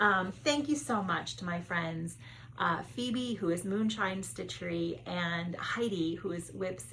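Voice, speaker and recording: A woman's fairly low voice at a very slow pace, with lively intonation, audible room echo and noticeable background noise. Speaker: cross-stitch video creator. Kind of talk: casual hobby vlog. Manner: loud when excited.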